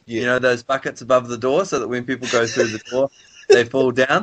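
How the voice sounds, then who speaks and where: A plain, everyday voice moves at a fairly quick pace. The intonation stays fairly even. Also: man, medium pitch for a man. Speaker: amateur voice performer. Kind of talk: casual comedic conversation.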